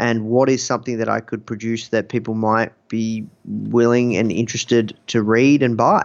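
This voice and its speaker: A man of medium pitch talks at a moderate pace with hardly any pauses. His intonation is monotone and flat. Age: 30s. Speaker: magazine founder and entrepreneur. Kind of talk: interview. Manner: hesitant, many fillers.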